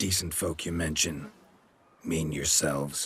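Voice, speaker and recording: Using a put-on character voice, a man speaks at a very deep, low pitch, raspy and at a fairly slow pace. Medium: video game. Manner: terse, deadpan.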